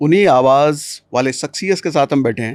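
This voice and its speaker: A man's voice, an ordinary speaking voice, fairly high in pitch with lively intonation, in a very clean recording with a silent background. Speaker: podcast host. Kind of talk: interview questions.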